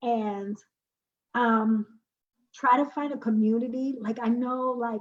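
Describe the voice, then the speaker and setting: A woman with an American accent, a fairly high pitch, fairly even intonation and a somewhat breathy sound. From Brooklyn, New York. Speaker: poet and spoken word artist. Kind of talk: interview.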